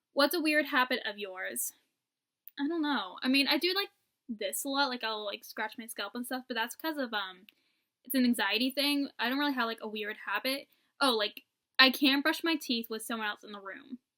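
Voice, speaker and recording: A woman's raised, projected voice, high in pitch with ordinary pitch variation, sounds dry and close with no echo. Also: moderate pace. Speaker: vlogger. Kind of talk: casual chat. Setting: at home. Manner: animated.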